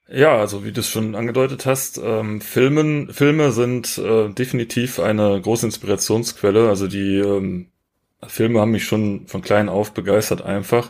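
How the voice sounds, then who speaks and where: A man with an ordinary speaking voice and a fairly low pitch speaks at a moderate pace. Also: ordinary pitch variation. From Rhineland, Germany. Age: 30s. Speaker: photographer. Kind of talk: casual interview.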